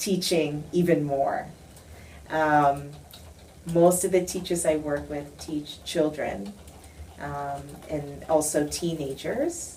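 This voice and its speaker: With audible room echo, a woman in an American accent speaks very slowly at a fairly low pitch. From United States. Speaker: education professor. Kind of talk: interview.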